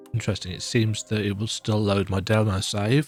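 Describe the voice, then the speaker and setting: Music in the background behind a man's fairly low voice. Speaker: gaming video creator. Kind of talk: casual gameplay commentary.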